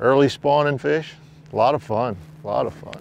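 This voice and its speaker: This man's pace is moderate. The recording sounds dry, without echo. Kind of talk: fishing show commentary. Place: boat.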